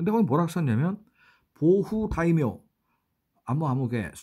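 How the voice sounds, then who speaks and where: With a fairly high pitch and very wide pitch swings, a man talks at a moderate pace. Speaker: writer and travel vlogger. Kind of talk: travel vlog narration. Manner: halting, many fillers.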